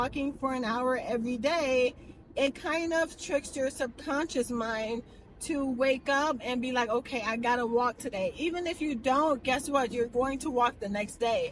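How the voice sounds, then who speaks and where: A woman with a high voice talks at a moderate pace, her pitch rising and falling in an ordinary way. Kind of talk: casual vlog. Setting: in a car. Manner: soft-spoken.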